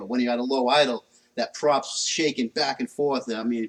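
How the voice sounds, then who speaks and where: A man of medium pitch talks at a fairly quick pace with a New England accent and fairly even intonation. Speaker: car mechanic livestreamer. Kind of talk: casual chat while working on a car.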